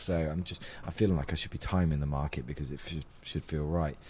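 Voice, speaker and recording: A British accent marks this man's speech. His tone is dark and mellow. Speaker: investing podcast host. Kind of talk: casual chat.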